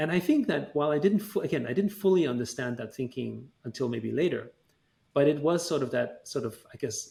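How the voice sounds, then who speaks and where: With a German accent, a man talks at a fairly quick pace in a dark, mellow tone with vocal fry and lively intonation. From Austria, Vienna. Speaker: tech entrepreneur. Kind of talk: interview. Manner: halting, many fillers.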